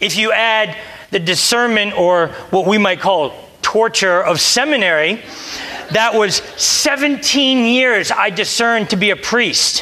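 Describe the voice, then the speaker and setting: Over noticeable background noise and audible room echo, a raised, projected voice with an American accent goes at a fairly slow pace, with ordinary pitch variation and very even loudness. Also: man, high pitch for a man. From US, Delaware. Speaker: priest. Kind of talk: sermon. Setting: church.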